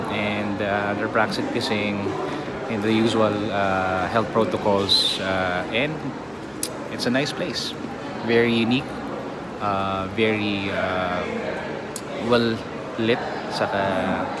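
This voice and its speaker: Amid loud background noise, a man speaks at a very slow pace with long, frequent pauses. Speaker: travel vlogger. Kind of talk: casual vlog chat. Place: cafe. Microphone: phone near.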